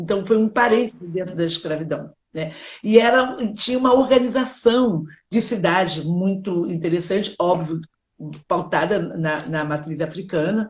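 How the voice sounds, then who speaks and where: A woman's somewhat breathy voice at medium pitch, with lively intonation and a fairly slow pace. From Brazil, Rio de Janeiro. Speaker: children's author and educator. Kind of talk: live interview.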